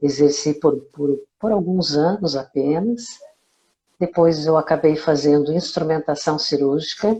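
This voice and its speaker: A woman's very deep, low voice, dark and mellow in tone, with ordinary pitch variation at a fairly slow pace. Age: 60s. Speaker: amateur open-water swimmer. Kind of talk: interview. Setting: live video call.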